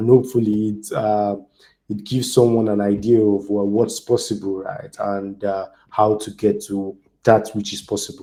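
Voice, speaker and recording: A man with a Nigerian accent speaks fairly slowly in a dark, mellow tone at a medium pitch. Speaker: DevOps engineer and community speaker. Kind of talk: online tech talk.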